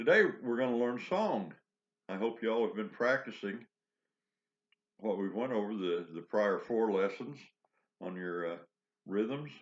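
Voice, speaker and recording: A croaky male voice moves at a fairly slow pace with ordinary pitch variation and long, frequent pauses. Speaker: harmonica teacher. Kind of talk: tutorial.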